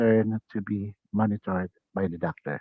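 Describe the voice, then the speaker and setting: A man's speech moves at a fairly slow pace. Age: 60s. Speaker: HIV peer counselor and advocate. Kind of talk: prepared talk. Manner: halting.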